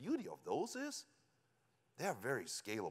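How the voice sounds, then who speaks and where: The voice has vocal fry. It is in a German accent. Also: man. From Germany. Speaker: company executive. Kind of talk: conference presentation.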